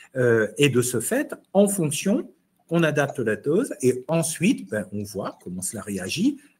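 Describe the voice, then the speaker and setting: A man's fairly high-pitched voice with vocal fry, very wide pitch swings and a very slow pace. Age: 60s. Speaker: immunopharmacology professor and chef. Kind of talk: online webinar discussion. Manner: hesitant, repeats words.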